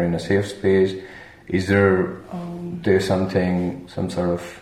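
Noticeable background noise sits behind the speaker. He is a man with a very deep, low pitch. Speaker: podcast host. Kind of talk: casual interview chat.

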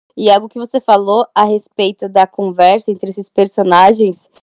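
A woman speaks with a dark, mellow tone. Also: dry, close sound with no echo. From São Paulo, Brazil. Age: 20s. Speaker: bookstagrammer. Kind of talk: casual chat.

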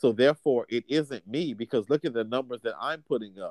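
A man talks in a normal speaking voice at a moderate pace, with ordinary pitch variation. The sound is dry and close, without echo. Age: 30s. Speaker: podcast co-host. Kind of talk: casual chat.

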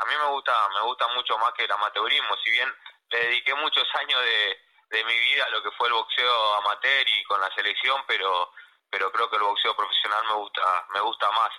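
A man at a fairly quick pace, with very even loudness throughout. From Argentina, Córdoba. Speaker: professional boxer. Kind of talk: phone interview. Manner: halting.

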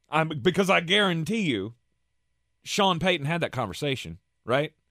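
At a moderate pace, a man with a fairly high pitch speaks on a very clean recording with a silent background. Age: 40s. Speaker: sports radio host. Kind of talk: casual sports talk. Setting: radio studio.

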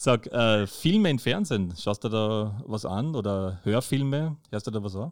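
In a normal speaking voice, a man talks at a fairly low pitch and fairly slow pace with hardly any pauses. The recording is very clean with a silent background. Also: ordinary pitch variation. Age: 50s. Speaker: podcast host, visually impaired. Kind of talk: casual interview.

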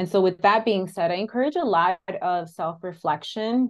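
At a moderate pace and with ordinary pitch variation, a woman talks in an ordinary speaking voice. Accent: American. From Chicago, US. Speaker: therapist. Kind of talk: interview.

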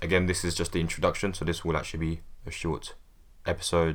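This man speaks with a very deep, low pitch. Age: 20s. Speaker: hip-hop review podcast host. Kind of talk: solo podcast monologue.

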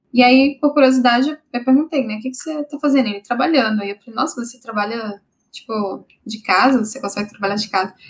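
A very fast pace with big swings in loudness and ordinary pitch variation. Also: woman, high pitch for a woman. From Brasília, Brazil. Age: 30s. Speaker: software developer. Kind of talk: casual interview.

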